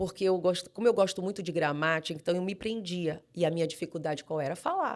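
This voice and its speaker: Someone with a strong Manaus accent talks at a very fast pace with hardly any pauses. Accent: strong Manaus accent; drops final R. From Brazil, Manaus (Amazonas). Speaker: pastor. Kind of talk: podcast interview.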